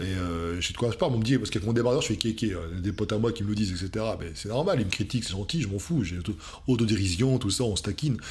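Speaking at a very fast pace, a man sounds somewhat breathy. His fairly low pitch shows ordinary variation. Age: 40s. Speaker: fitness coach youtuber; fitness coach. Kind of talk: video reaction commentary. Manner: hesitant with many fillers. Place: home room.

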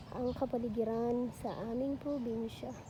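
A woman talks at a very slow pace in a high pitch with a dark, mellow, relaxed tone. Audible room echo surrounds her voice. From Batangas, Philippines. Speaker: vlogger, pastor's wife and mother. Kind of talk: casual vlog tour. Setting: outdoors in backyard. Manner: relaxed, conversational.

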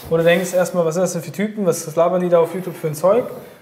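A man's high-pitched voice comes with audible room echo. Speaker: business coach. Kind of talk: interview answer. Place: office.

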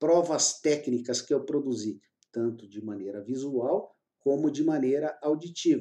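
A man talks fairly slowly with ordinary pitch variation, and the background is quiet. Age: 50s. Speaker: court-appointed expert witness and course instructor; course creator presenting his course. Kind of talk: sales pitch. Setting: screen recording. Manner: informal, repeated tag questions.

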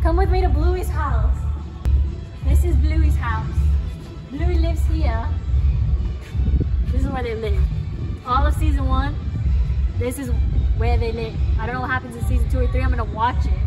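Clear music plays in the background while a woman talks. She keeps a moderate pace with long, frequent pauses. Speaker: vlogger. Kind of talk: casual vlog chat. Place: street. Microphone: phone near.

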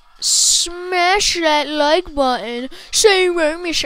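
In a put-on character voice, a woman speaks extremely high and at a very slow pace. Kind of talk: casual gameplay commentary.

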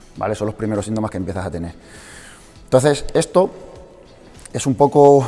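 Faint music plays as a man speaks at a very fast pace. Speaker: fitness coach. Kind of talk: lecture to a small audience. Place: gym.

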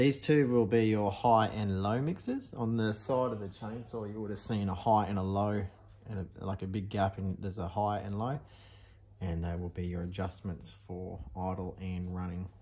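A man talks with an Australian accent at a fairly low pitch. His tone is dark and mellow, and his intonation stays fairly even. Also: moderate pace. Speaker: vintage machinery restorer. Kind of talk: tutorial. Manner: casual, with many fillers. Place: workshop.

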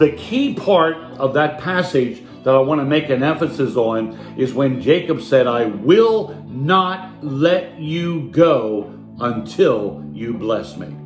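A man at a very slow pace with lively intonation, audible room echo and faint music in the background. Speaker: pastor. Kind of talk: online sermon. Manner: enthusiastic. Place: home room. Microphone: phone near.

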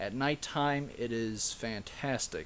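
A man speaking at a very slow pace over light background noise. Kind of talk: tutorial. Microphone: phone near.

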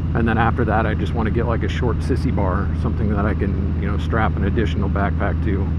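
Loud background noise accompanies a man speaking at a fairly quick pace, with a dry sound and no echo. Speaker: motorcycle vlogger. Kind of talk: casual vlog chat. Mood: relaxed, conversational. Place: motorbike.

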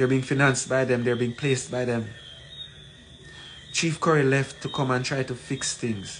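Fairly even intonation at a fairly slow pace. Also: man, medium pitch for a man.

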